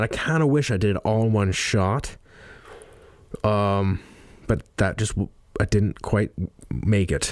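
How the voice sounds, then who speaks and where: At a fairly slow pace, a man speaks with a fairly low pitch and a slight Canadian accent. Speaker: podcaster and audiobook narrator. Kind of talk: casual monologue. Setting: studio.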